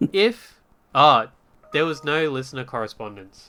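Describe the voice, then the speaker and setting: This man has a strong Australian accent and a bright, sharp tone. He talks at a fairly slow pace. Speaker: podcast host. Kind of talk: casual chat. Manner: hesitant, many fillers.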